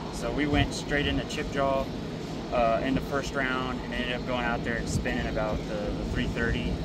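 Moderate-paced speech over loud background noise. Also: man. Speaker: vlogger. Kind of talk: casual vlog chat. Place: stadium. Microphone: phone near.

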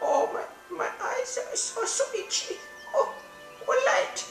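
An extremely high-pitched put-on character voice at a fairly slow pace, with slight echo and loud background noise. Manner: sweet, theatrical.

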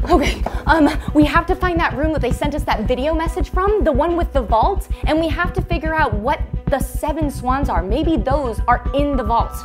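A woman speaking at a moderate pace, with clear music in the background. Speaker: web series actor. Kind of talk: scripted adventure dialogue. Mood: nervous, dramatic. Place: tunnel cave. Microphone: lapel.

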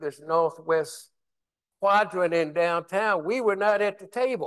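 In a quiet background, a man with an American accent speaks at a moderate pace. His pitch is high, with ordinary variation. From West Virginia. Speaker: former Army officer and city official; panelist. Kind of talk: panel discussion. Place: hall.

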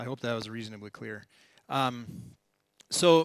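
With an American accent and a bright, sharp tone, a man speaks at a moderate pace with ordinary pitch variation, in a dry sound with no echo over a quiet background. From United States. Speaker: professor, oceanographer; lecturer. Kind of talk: lecture. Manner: hesitant, many fillers. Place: hall.

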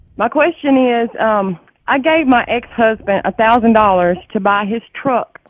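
The speech moves at a fairly slow pace, recorded dry with no echo over a quiet background. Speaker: radio call-in listener. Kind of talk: caller asking a question on a radio show. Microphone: phone line.

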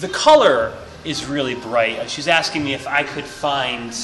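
Over faint music in the background, a man speaks at a moderate pace. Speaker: interviewee. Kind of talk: interview answer. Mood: friendly, slightly hesitant. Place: shop. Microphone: phone near.

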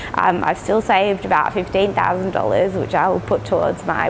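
There is light background noise as a woman speaks at a moderate pace with an Australian accent. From Melbourne, Australia. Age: 30s. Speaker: education designer, dental patient. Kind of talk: patient testimonial. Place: hall. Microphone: lapel.

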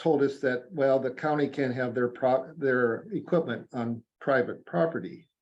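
At a fairly slow pace, a man with a Midwestern US accent speaks at a medium pitch with ordinary pitch variation. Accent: US Midwest. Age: 60s. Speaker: farmer. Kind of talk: public comment at county meeting. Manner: halting.

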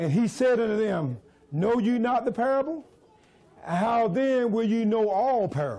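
At a fairly slow pace, a man with a high pitch speaks in an animated tone, his loudness very even. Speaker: preacher. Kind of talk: sermon. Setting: church with congregation. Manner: animated call-and-response preaching, urging the congregation to repeat lines. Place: church.

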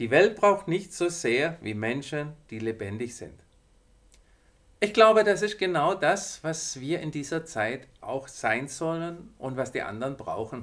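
Over a quiet background, a man talks at a very slow pace, his pitch swinging very widely. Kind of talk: devotional talk to viewers. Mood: warm, encouraging. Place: studio.

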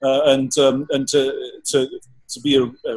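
A man speaks with an English accent. His pitch sits fairly high. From England, countryside. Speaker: painter; guest. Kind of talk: interview. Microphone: video call.

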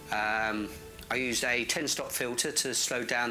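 Medium pitch from a man, with faint music in the background. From England. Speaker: landscape photographer. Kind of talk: casual talk to camera. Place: home room. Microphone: lapel.

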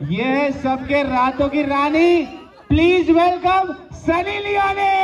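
With crowd noise in the background, a man talks very slowly in an extremely high pitch with ordinary pitch variation. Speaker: wedding emcee. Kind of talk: live event hosting, wedding games. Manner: energetic. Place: stage. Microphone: pa.

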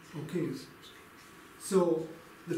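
A man with a high voice is heard with audible room echo and light background noise. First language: English (speaking German). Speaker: preacher; lay preacher teaching a Bible study. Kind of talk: sermon. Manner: halting. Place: home room.

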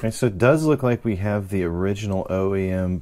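A man talks at a moderate pace with ordinary pitch variation. His tone is dark and mellow. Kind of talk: tutorial. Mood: excited, enthusiastic. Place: workshop.

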